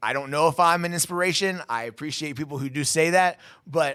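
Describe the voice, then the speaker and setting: In a very clean recording with a silent background, a man talks at a fairly quick pace with ordinary pitch variation. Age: 30s. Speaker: podcast host and inspirational speaker. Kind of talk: personal testimony. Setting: studio. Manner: fast.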